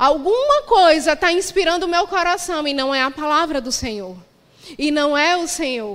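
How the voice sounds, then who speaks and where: A woman's high-pitched voice carries along at a moderate pace. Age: 30s. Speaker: pastor. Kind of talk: sermon.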